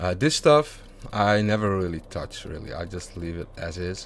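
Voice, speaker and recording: The speaker has a European accent and ordinary pitch variation. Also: man. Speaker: gaming YouTuber. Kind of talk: tutorial. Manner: casual with many fillers.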